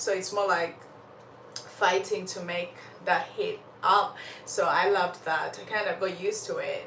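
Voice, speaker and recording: The speech is animated but fairly slow, broken by long, frequent pauses. Audible room echo and noticeable background noise fill the recording. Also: woman. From Uganda. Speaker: storyteller livestream host. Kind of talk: casual live chat. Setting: livestream.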